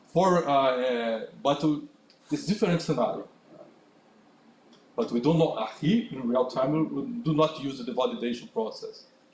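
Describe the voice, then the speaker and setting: Amid noticeable background noise, a man with a fairly high pitch makes very wide pitch swings and takes long, frequent pauses. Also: moderate pace. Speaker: conference speaker. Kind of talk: technical talk with Q&A. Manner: halting, many fillers.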